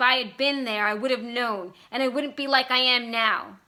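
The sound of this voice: A woman puts on a character voice, high in pitch and raised and projected. She speaks at a moderate pace.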